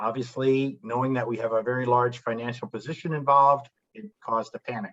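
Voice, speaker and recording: With an American accent, a man speaks at a medium pitch. His intonation is fairly even. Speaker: company founder. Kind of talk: business presentation to a class. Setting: university classroom. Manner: fast.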